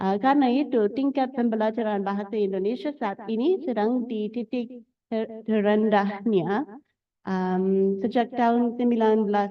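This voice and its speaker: A woman's fairly high voice, fairly slow, with ordinary pitch variation. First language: English (speaking Indonesian). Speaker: doctoral researcher, art historian. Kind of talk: academic talk. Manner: halting, many fillers.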